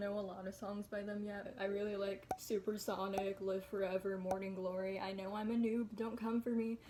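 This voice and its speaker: Her tone relaxed and her intonation monotone and flat, a woman with a medium pitch speaks at a moderate pace over noticeable background noise. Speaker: vlogger. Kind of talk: casual chat.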